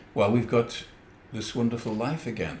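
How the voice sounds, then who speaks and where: A man's voice with audible room echo. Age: 70s. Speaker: podcast co-host. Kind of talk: casual chat.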